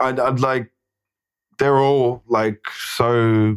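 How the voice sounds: With a New Zealand accent, a man speaks at a very slow pace in a medium pitch, his intonation fairly even and his tone clear and smooth.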